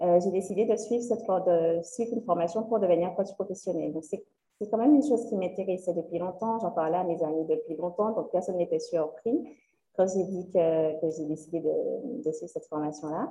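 A woman speaks at a fairly quick pace with a medium pitch and ordinary pitch variation. Her tone is dark and mellow. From Guadeloupe (Le Moule, Sainte-Anne). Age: 20s. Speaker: career coach. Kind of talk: interview.

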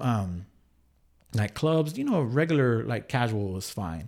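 A man talks at a moderate pace with very wide pitch swings. The recording is very clean, with a silent background. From Texas, San Angelo. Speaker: radio DJ. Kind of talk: casual chat. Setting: studio.

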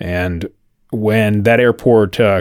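With an unremarkable speaking voice, this man talks at a fairly low pitch with fairly even intonation on a very clean recording with a silent background. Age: 30s. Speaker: aviation podcast host. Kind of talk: solo podcast monologue. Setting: home studio.

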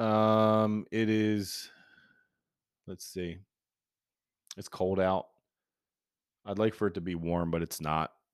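At a very slow pace, a man speaks with fairly even intonation and long, frequent pauses on a very clean recording with a silent background. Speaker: podcast host. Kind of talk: casual solo talk. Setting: home recording. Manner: hesitant, many filler words.

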